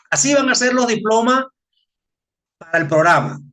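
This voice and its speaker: With a bright, sharp tone, a man talks at a fairly quick pace using lively intonation. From Venezuela. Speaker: occupational safety trainer. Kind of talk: webinar presentation. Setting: online webinar. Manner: casual, repetitive with filler words.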